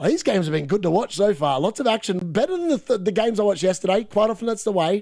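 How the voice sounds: A man with an Australian accent, a slightly mellow tone, ordinary pitch variation and a fairly quick pace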